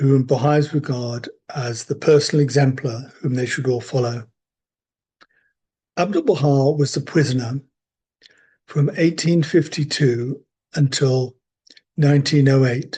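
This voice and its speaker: In a British accent, a man speaks at a fairly slow pace with a fairly high pitch and fairly even intonation. His tone is dark and mellow, and somewhat breathy. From Britain. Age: 70s. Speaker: religious community member sharing faith stories. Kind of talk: storytelling. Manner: unhurried with hesitations.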